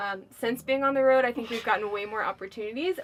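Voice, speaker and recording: At a fairly quick pace, an unremarkable speaking voice shows ordinary pitch variation. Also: woman. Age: 20s. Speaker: travel vlogger. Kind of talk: casual chat.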